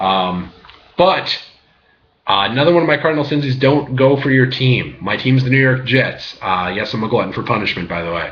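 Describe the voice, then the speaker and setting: A man at a fairly quick pace, medium in pitch, with lively intonation and vocal fry. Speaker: graduate student; sports picks commentator. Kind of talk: casual talk to camera. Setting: laptop webcam.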